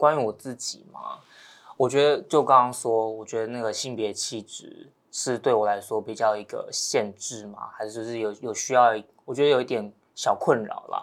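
On a very clean recording with a silent background, a man speaks in an ordinary speaking voice at medium pitch and a moderate pace. His intonation is fairly even, but his loudness swings widely. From Taiwan, Taoyuan. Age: young. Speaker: young farmer. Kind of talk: casual chat.

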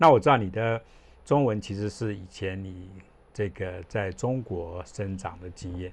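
A man with a normal speaking voice, fairly low in pitch, fairly slow, with ordinary pitch variation and big swings in loudness. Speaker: podcast host. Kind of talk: casual interview chat.

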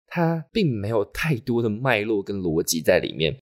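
On a very clean recording with a silent background and a dry, close sound with no echo, a man of medium pitch speaks fairly slowly with very wide pitch swings. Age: 20s. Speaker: podcast host, design student. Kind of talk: solo monologue podcast.

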